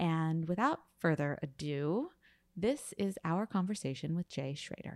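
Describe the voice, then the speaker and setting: A woman with an American accent talks at a very deep, low pitch and a moderate pace, with ordinary pitch variation. The sound is dry and close with no echo, on a very clean recording with a silent background. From US. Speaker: podcast host. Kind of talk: casual interview.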